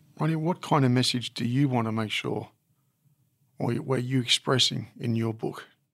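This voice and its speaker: A man talks at a moderate pace and medium pitch with fairly even intonation. He has a plain, everyday voice. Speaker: podcast host. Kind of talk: interview.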